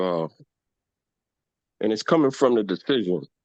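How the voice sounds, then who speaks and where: Over a quiet background, a man speaks at a moderate pace in a fairly low pitch, the sound dry and close with no echo. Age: 60s. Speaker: community elder.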